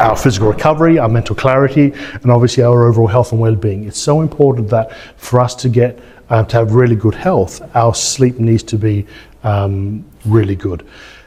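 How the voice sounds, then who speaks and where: A man with an Australian accent talks at a fairly quick pace, somewhat breathy and with a dark, mellow tone. His medium pitch has ordinary variation. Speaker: chiropractor. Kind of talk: event introduction. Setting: stage with audience.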